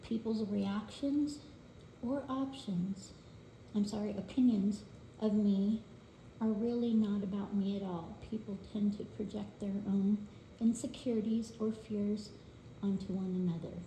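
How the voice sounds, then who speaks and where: A woman's medium-pitched voice, fairly slow and fairly even in intonation, with long, frequent pauses, audible room echo, and noticeable background noise. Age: 60s. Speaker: budgeting video creator. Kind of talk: reading aloud; casual chat. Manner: halting.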